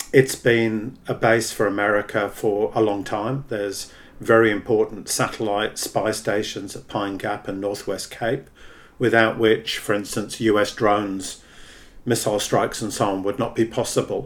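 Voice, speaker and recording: With an Australian accent, a man speaks in a fairly low pitch with monotone, flat intonation. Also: moderate pace. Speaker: podcast host, socialist activist. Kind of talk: interview.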